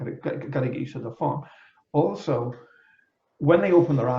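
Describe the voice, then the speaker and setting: A man speaks with a Liverpool accent at a fairly high pitch, with ordinary pitch variation. His tone is dark and mellow and somewhat breathy. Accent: Liverpudlian. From England, Liverpool. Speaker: energy healer. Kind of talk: casual interview chat.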